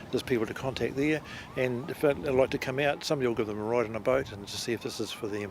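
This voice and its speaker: A man with a New Zealand accent talks at a very fast pace, his medium-pitched voice keeping a fairly even intonation. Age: 60s. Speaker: amateur powerboat racer. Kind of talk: interview. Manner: halting.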